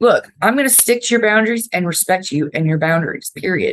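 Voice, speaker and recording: With an American accent, a woman talks at a moderate pace. Vocal fry runs through her voice. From Florida, raised by New Yorkers. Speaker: podcast host. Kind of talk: self-help podcast monologue. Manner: casual, conversational.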